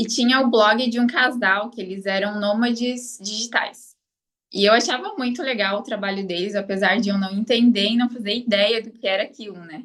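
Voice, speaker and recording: A woman's ordinary speaking voice with a fairly high pitch, ordinary pitch variation, a moderate pace and big swings in loudness. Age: 30s. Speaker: online course student, affiliate marketer. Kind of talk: interview. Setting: live stream interview.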